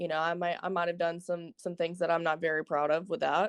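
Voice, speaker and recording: Speaking in a Southern US accent, a woman keeps a fairly low pitch and monotone, flat intonation, with a dry, close sound and no echo. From US South, Alabama. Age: young. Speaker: caller. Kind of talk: casual chat.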